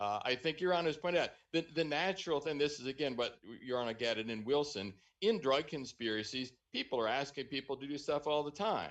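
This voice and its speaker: A man's fairly high voice at a very fast pace, with ordinary pitch variation against a quiet background. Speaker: appellate defense lawyer. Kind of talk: oral argument in court. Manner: repeats words when starting sentences.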